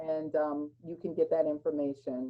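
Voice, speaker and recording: A woman speaks with a very deep, low pitch. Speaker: school counselor. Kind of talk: presentation.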